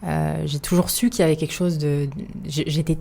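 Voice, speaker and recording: Very fast speech comes in a dark, mellow tone. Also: woman. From France, Paris suburbs. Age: 30s. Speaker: podcast guest. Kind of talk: casual interview. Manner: hesitant, many fillers.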